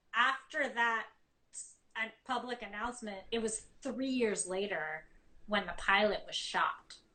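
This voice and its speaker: A woman with an American accent, fairly high-pitched and bright and sharp in tone, at a fairly slow pace with ordinary pitch variation and big swings in loudness. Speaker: actress, writer and director. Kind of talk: casual interview.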